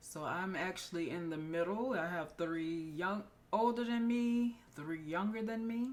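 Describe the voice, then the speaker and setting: Soft-spoken, with lively intonation and a fairly slow pace. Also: woman, medium pitch for a woman. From US South, Florida (Winter Haven). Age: 40s. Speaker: nurse practitioner and podcast host. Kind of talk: casual personal introduction monologue. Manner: quiet, soft-spoken.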